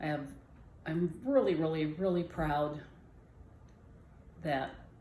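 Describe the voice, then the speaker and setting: With audible room echo around her, a woman talks at a moderate pace in a very deep, low pitch and lively intonation. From Southern California, Jamul reservation. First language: Kumeyaay. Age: 60s. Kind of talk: personal storytelling. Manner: halting.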